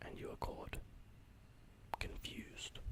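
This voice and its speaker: A whispered voice moves at a moderate pace while noticeable noise sits in the background. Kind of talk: ASMR horoscope reading, tongue-in-cheek. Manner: whispered, tranquil.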